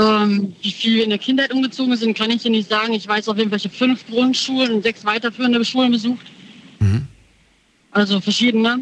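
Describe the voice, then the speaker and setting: A woman talks at a fairly quick pace in a normal speaking voice. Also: fairly high pitch for a woman. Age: 30s. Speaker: caller. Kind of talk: radio call-in chat.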